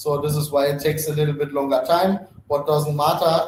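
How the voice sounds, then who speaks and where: A man's fairly high voice with a non-native accent and fairly even intonation, set against noticeable background noise. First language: not English. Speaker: company CEO and founder. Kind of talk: live webinar Q&A. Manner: fast.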